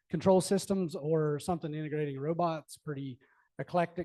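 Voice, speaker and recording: A man with a fairly high pitch and a dark, mellow tone speaks at a fairly quick pace with fairly even intonation, in a dry, close sound with no echo. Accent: American. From North Carolina. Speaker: systems integrator presenter. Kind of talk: technical presentation at event. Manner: casual, with frequent fillers and repetitions.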